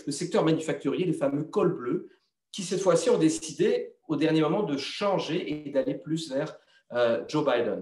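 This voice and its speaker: A man with a normal speaking voice talks at a moderate pace, his intonation lively. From Belgium. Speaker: TV journalist and presenter. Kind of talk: interview answer.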